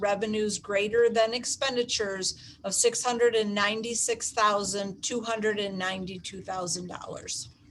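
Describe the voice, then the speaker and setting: A woman at a moderate pace, fairly high in pitch, with fairly even intonation. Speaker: school district finance officer. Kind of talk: budget presentation at board meeting. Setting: school board meeting. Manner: halting, many fillers.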